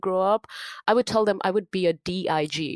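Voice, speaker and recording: The speaker is a woman. She has an Indian accent. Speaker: cybersecurity professional and nonprofit founder. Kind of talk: casual interview chat.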